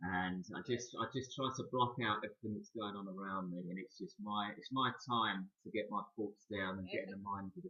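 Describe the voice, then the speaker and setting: With a London accent, a man talks at a fairly quick pace with hardly any pauses. His pitch is fairly low, with ordinary variation. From London, England. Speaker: horror and sci-fi author. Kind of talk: casual interview chat.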